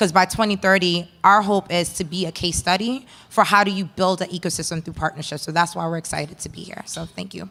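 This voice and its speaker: Talking at a very fast pace with hardly any pauses, a woman with a fairly low pitch and vocal fry keeps a fairly even intonation and a bright, sharp tone. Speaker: entrepreneur, panelist. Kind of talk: panel discussion.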